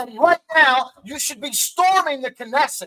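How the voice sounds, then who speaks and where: A man's raised, projected voice with a bright, sharp tone and lively intonation, fairly slow in pace, dry and close with no echo. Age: 50s. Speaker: political commentator. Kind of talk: heated debate. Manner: animated.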